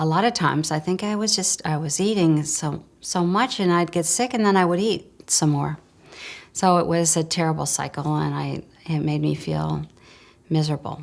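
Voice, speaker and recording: A woman speaks with a Midwestern accent and fairly low pitch. The recording is very clean, with a silent background. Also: ordinary pitch variation, moderate pace. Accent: American Midwest. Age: 60s. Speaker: customer giving a testimonial. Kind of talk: testimony.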